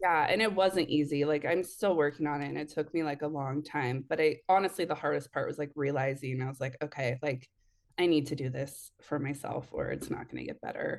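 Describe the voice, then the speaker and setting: A woman speaks at a fairly quick pace with ordinary pitch variation and a very deep, low pitch. The background is quiet. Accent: American. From Oregon, Eugene area. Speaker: photographer. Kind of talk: casual interview.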